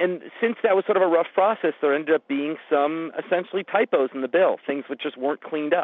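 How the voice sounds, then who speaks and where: An unremarkable speaking voice belongs to this man. He talks at a fairly quick pace with ordinary pitch variation. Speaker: economics professor. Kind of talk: interview.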